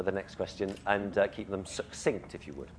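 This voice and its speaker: Here is a man with an English accent. He talks at a fairly quick pace. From England. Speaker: event chair. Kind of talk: live interview on stage. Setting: stage with audience.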